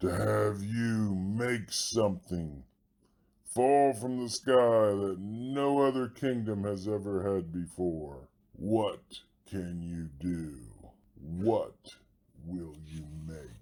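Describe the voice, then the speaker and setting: A man uses a put-on character voice at a fairly low pitch. He speaks at a very slow pace with lively intonation. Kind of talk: kindergarten read-aloud character acting. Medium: read story. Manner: grumbling, bossy and loud.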